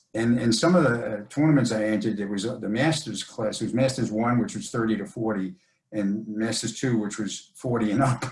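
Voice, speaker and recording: A man's somewhat breathy, medium-pitched voice at a fairly quick pace with ordinary pitch variation. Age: 70s. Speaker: jiu-jitsu brown belt and strength coach. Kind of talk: interview.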